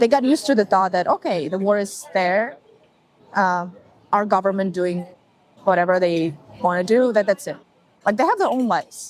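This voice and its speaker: A woman's medium-pitched voice with a Ukrainian accent, at a moderate pace, with ordinary pitch variation and long, frequent pauses. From Ukraine, Zaporizhzhia. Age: 20s. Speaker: interviewee. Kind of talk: interview. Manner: halting.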